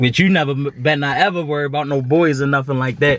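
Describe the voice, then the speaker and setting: A fairly high-pitched man's voice over noticeable background noise. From Baltimore, Maryland (US). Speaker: vlogger. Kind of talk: testimony. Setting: at home. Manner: casual.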